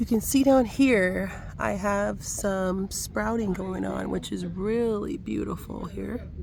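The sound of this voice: Raspy and marked by vocal fry, a woman's voice moves at a slow pace. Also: medium pitch for a woman, ordinary pitch variation.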